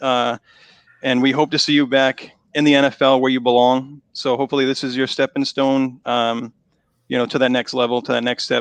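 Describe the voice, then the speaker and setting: A man's medium-pitched voice with a Boston accent, fairly quick and flat in monotone, dry and close with no echo over a quiet background. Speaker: online show host. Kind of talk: live interview. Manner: halting, repeats words.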